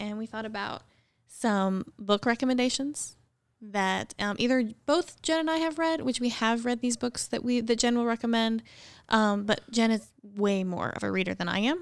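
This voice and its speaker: In a very clean recording with a silent background, an unremarkable speaking voice keeps a moderate pace and ordinary pitch variation. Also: woman, fairly high pitch for a woman. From rural central Missouri. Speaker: church podcast co-host. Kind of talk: casual chat.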